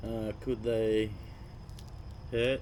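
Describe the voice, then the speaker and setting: Someone speaks quietly with an Australian accent. The intonation is monotone and flat. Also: man. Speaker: fishing channel host. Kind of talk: live stream chat. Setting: cabin at night, live stream. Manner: quiet, low voice.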